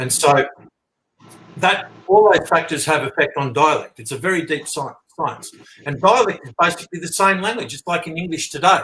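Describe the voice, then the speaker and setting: At a moderate pace, the speaker talks with an Australian accent, ordinary pitch variation and big swings in loudness. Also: man, high pitch for a man. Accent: Australian, milder than a broad bogan. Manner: explanatory, conversational.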